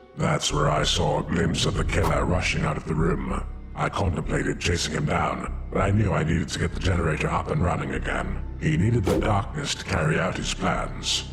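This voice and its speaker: Over loud background noise, a man puts on a character voice, very deep and low, at a fairly quick pace. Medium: audio drama. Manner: calm, articulate.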